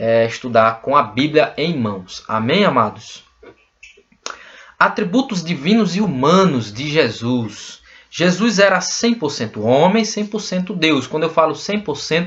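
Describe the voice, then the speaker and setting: A man talks at a fairly slow pace in a fairly high pitch. His pitch swings very widely. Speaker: bible teacher. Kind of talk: lecture.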